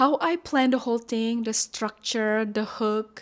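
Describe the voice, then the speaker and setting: A woman's fairly high voice with a non-native accent and fairly even intonation. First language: not English. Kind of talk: casual vlog talk to camera.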